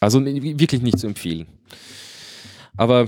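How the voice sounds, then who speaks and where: A man talks at a fairly quick pace with a slight Viennese accent. His pitch varies in an ordinary way. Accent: light Viennese, mostly dialect-free. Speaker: podcast host. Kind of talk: casual chat. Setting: remote recording link with studio mixer.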